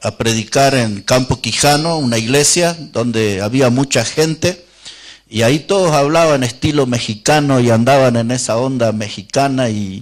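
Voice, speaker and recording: In a plain, everyday voice, a man talks at a moderate pace with a medium pitch and ordinary pitch variation. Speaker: Baptist preacher / pastor. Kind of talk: sermon preached to a congregation.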